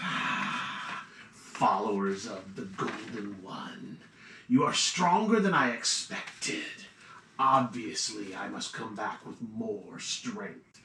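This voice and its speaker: A man uses a put-on character voice at a medium pitch, speaking at a very slow pace. The recording has a slight echo and some hissing. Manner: menacing.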